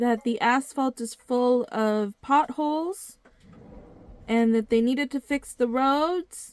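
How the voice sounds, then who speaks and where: A woman talks at a very slow pace, high in pitch with ordinary pitch variation. The sound is dry and close, with no echo. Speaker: video blogger. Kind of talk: video monologue. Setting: living in a motorhome. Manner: deliberate.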